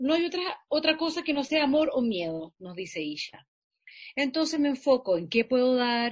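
A high-pitched woman's voice with very wide pitch swings at a moderate pace. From Chile, Santiago (La Florida). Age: 40s. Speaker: actress. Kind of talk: interview.

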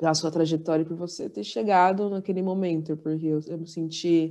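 A woman's fairly low, dark and mellow voice at a moderate pace, with fairly even intonation against a quiet background. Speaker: podcast host, university student. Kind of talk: casual chat.

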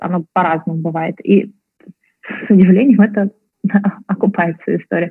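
Her pitch is medium and her pace moderate. This woman's intonation stays fairly even. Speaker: entrepreneur, startup founder. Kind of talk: interview.

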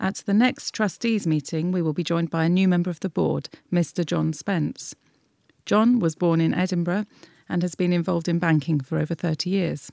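A woman with an unremarkable speaking voice talks at a fairly quick pace and a fairly low pitch. Her pitch varies in an ordinary way and her loudness stays very even. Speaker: newsletter reader. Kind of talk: reading aloud.

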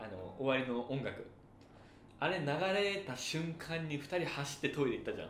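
Moderately paced speech from a man with a fairly high pitch, with noticeable background noise and audible room echo. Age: 30s. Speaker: podcast co-host. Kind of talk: casual chat.

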